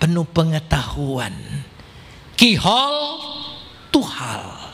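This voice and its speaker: The voice is male. Behind it, background noise is noticeable. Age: 70s. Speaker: pastor. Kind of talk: sermon.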